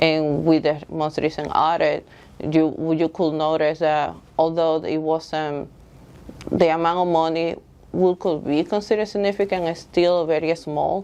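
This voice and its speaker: With a Dominican accent, a woman talks at a fairly slow pace in a fairly low pitch and monotone, flat intonation. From Dominican Republic. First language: Spanish. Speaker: school board candidate. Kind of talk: candidate interview. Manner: halting, with fillers.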